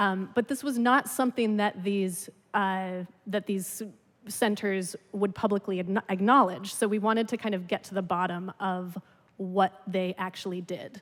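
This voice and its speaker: Using a normal speaking voice, a woman at medium pitch talks at a fairly slow pace with fairly even intonation. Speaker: radio reporter and podcast host. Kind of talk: conference presentation talk.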